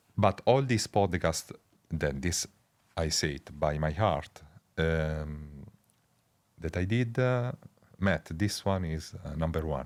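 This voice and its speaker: A man's very deep, low voice in an Italian accent, very slow and full of long, frequent pauses, with lively intonation. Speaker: researcher. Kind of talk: interview conversation. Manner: halting.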